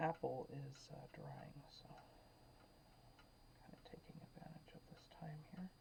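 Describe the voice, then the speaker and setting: A soft-spoken woman whispers at a fairly slow pace, with long, frequent pauses and big swings in loudness. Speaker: painting instructor. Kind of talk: tutorial. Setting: at home. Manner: whispering, soft; halting, many fillers.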